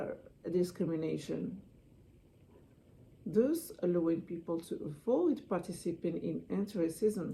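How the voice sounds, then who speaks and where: A woman with a non-native accent speaks at a fairly slow pace in a fairly low pitch, with ordinary pitch variation, vocal fry, and long, frequent pauses. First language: not English (English is her third language). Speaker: student giving a class speech. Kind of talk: persuasive speech. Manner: halting.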